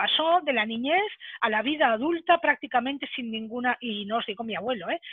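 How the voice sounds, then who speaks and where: A woman talks at a moderate pace with a high pitch and lively intonation. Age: 60s. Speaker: speaker on careers for senior workers. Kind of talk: webinar talk.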